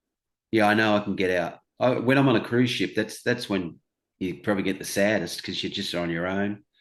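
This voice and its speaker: In an Australian accent, a man speaks at a fairly quick pace with ordinary pitch variation. His pitch is fairly low, and the background is quiet. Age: 60s. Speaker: stand-up comedian. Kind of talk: interview answer.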